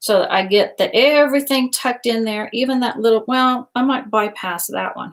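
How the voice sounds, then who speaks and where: An American accent with ordinary pitch variation, in a very clean recording with a silent background. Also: woman. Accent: Southern accent, comes out at times. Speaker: craft tutorial host. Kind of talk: tutorial. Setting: live stream. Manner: casual, chatty.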